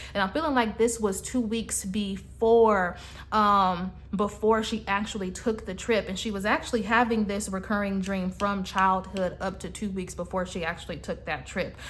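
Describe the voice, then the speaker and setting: The woman's voice is somewhat breathy, and her intonation stays fairly even. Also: medium pitch for a woman, moderate pace. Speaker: psychic reader. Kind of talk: psychic reading monologue. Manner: halting, many fillers.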